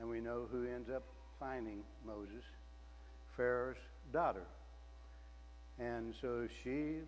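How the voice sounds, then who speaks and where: A man speaks at a fairly slow pace, leaving long, frequent pauses. Room echo is audible. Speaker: lay preacher. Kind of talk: sermon. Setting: church. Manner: loud.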